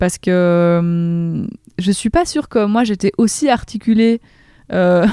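Her voice has a dark, mellow tone and ordinary pitch variation. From Belgium, province of Namur. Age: 30s. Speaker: politician. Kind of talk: interview. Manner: halting, many repetitions.

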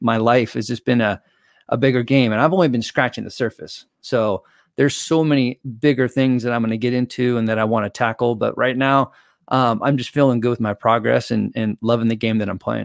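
Heard in a dry, close sound with no echo, a man with a plain, everyday voice speaks fairly quickly at a medium pitch with fairly even intonation. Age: 40s. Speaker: mental performance coach. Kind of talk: casual interview. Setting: video call.

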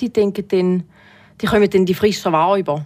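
A woman's medium-pitched voice with ordinary pitch variation, a normal speaking voice. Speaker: retail worker. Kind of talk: casual chat.

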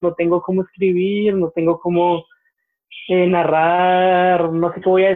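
The man's voice is high in pitch. His intonation is monotone and flat. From Colombia. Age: 20s. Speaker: history graduate. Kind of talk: casual interview.

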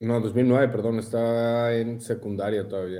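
A man speaks in a dark, mellow tone. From Mexico City. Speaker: CrossFit athlete. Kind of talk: casual chat.

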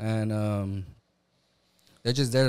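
This man has an unremarkable speaking voice at medium pitch and talks at a moderate pace. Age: 20s. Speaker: former prisoner and recent church convert. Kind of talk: testimony.

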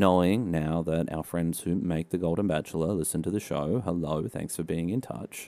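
A man's very deep, low voice with a dark, mellow tone and an Australian accent, at a moderate pace, on a very clean recording with a silent background. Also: ordinary pitch variation. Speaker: podcast co-host. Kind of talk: casual comedic podcast chat.

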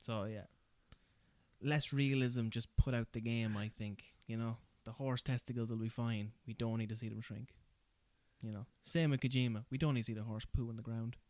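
Pausing long and often, a man speaks at medium pitch with an Irish accent and fairly even intonation. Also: moderate pace. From rural Ireland. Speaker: podcast host.

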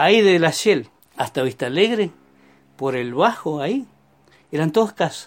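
A man talks at a moderate pace and a fairly high pitch, with very wide pitch swings. Long pauses come often. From Neuquén, Argentina. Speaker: retired former milkman and farm worker. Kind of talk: life story interview. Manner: conversational, hesitant fillers.

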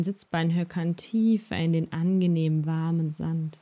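A woman's dark, mellow, calm, gentle tone sits at a fairly low pitch, with fairly even intonation and a fairly slow pace. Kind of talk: guided meditation. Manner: slow, soft-spoken, soothing; calm, gentle, with long pauses.

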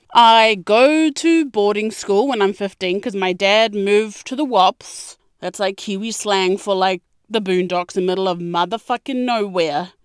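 The sound is dry and close with no echo as a woman speaks in a New Zealand accent. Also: medium pitch for a woman, ordinary pitch variation, moderate pace. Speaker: podcast host. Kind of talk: casual monologue. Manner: animated.

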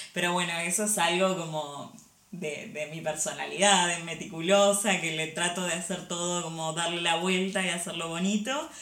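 A woman with an Argentine accent, fairly low in pitch, at a moderate pace with fairly even intonation, amid noticeable background noise and audible room echo. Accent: Argentine Spanish (Rioplatense). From Argentina. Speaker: industrial designer and corporate image consultant. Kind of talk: casual interview.

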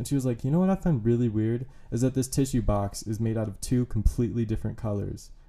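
Speaking at a very fast pace, a man with a medium pitch and a dark, mellow tone shows ordinary pitch variation. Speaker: comedian. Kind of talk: casual chat. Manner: even, level delivery.

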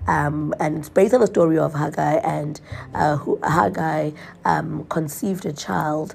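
This woman's voice sits very deep and low, with vocal fry running through it. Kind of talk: devotional monologue. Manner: casual, many fillers.

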